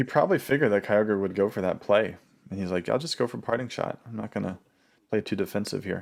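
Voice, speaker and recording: On a very clean recording with a silent background, a quiet man talks at a very fast pace with a fairly low pitch and ordinary pitch variation. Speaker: gaming commentator. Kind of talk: live reaction commentary. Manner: quiet, low-voiced.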